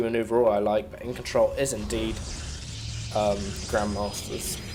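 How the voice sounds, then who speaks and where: A man talks at a fairly quick pace. He has a British accent and ordinary pitch variation. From Britain. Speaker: esports commentator. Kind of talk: live game commentary.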